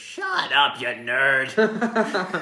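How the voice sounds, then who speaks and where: This is a put-on character voice at a middle pitch. Clear background noise can be heard behind it. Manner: shrill, scolding.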